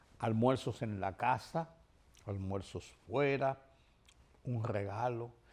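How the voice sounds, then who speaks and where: With a Dominican accent, a man speaks at a very slow pace with long, frequent pauses. His pitch variation is ordinary. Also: medium pitch for a man. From Dominican Republic, Santo Domingo. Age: 70s. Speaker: TV news commentator. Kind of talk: TV commentary monologue.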